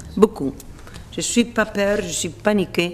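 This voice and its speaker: The words come at a very slow pace. The speaker is a woman with a fairly high pitch. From Spain. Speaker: opera singer. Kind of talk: interview answer. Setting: indoors.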